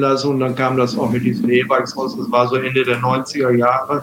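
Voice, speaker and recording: A man talks at a moderate pace. Noticeable background noise runs through the clip. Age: 60s. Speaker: wheelchair user and former Paralympic table tennis player. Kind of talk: casual interview.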